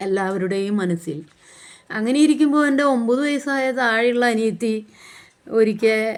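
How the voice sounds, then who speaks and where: A woman speaks with lively intonation. Her pitch sits fairly high. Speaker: YouTuber and author. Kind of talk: personal storytelling. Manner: halting.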